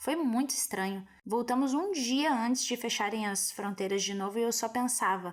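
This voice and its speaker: A woman with a Brazilian accent speaks at a high pitch with lively intonation. Her pace is fairly slow, on a very clean recording with a silent background. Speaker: schoolteacher. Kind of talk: personal testimony.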